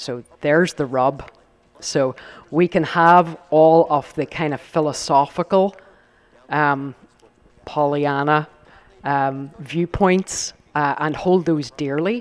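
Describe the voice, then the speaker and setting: In a Northern Irish accent, a man with a fairly high pitch speaks at a very slow pace with fairly even intonation and long, frequent pauses. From Northern Ireland. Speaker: company executive on a panel. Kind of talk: panel discussion. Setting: live event with audience.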